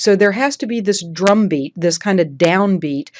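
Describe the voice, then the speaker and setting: On a very clean recording with a silent background, a woman of medium pitch speaks at a moderate pace, the sound dry and close with no echo. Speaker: honor society chapter advisor. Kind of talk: instructional talk. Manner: measured, rhythmic pauses.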